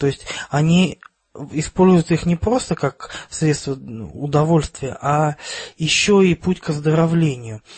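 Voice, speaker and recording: The speaker is a man whose pitch runs fairly high. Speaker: podcast co-host. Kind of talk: casual chat.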